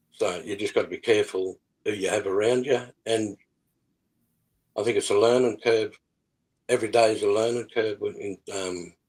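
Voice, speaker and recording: A man with an Australian accent speaks at a moderate pace, with a dry, close sound and no echo. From Australia, New South Wales. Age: 60s. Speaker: musician. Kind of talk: interview. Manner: halting.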